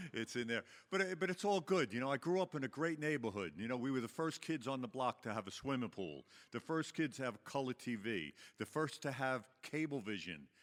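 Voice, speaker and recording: With a Long Island accent, a man talks at a fairly quick pace and a medium pitch, his pitch swinging very widely. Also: very clean recording, silent background. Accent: Long Island New York. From Long Island, New York. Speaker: recovery meeting speaker. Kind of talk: personal testimony to audience. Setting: stage with audience. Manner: conversational, filler-heavy.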